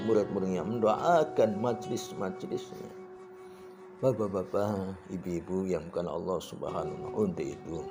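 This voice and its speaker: Music plays in the background while a man speaks. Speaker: Islamic preacher. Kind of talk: Islamic sermon.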